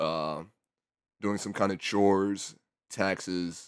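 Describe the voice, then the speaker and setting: A man's very deep, low voice at a fairly slow pace with fairly even intonation, on a very clean recording with a silent background. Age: 20s. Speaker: YouTuber. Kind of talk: casual rant. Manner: halting.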